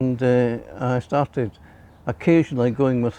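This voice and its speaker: Over a quiet background, a man with a Glaswegian accent speaks at a medium pitch and moderate pace, his dark, mellow tone heard in a dry, close sound with no echo. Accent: Glaswegian Scottish. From Scotland, Glasgow. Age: 80s+. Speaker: church member. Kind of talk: testimony. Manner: halting.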